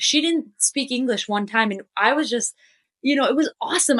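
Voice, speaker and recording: An animated, high-pitched woman with an American accent, fairly quick and lively in intonation, in a dry, close sound with no echo over a quiet background. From United States. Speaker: podcast guest, speaker on vulnerability. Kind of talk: interview conversation.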